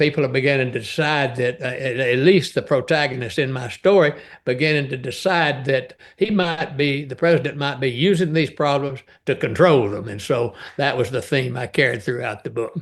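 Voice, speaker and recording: In a Texan accent, a man speaks at a moderate pace with a medium pitch. His pitch varies in an ordinary way against a quiet background. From East Texas. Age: 80s+. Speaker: novelist. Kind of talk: interview conversation. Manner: halting, many filler sounds.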